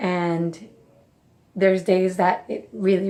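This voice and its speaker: In a very clean recording with a silent background, a woman with a Spanish accent speaks at a medium pitch. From Mexico. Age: 30s. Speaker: nutrition coach and vlogger. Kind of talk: personal reflection vlog.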